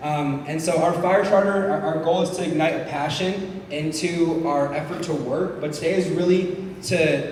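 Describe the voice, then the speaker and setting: A man speaks at a fairly high pitch with fairly even intonation. Noticeable background noise and audible room echo accompany him. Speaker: event organizer introducing speakers. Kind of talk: public speaking at event.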